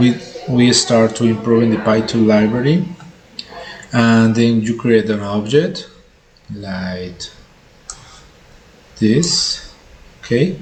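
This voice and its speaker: The speech is very slow, with ordinary pitch variation and long, frequent pauses. Room echo and noticeable background noise are audible. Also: man, medium pitch for a man. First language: Spanish. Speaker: tech tutorial youtuber. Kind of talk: tutorial. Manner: halting, many fillers.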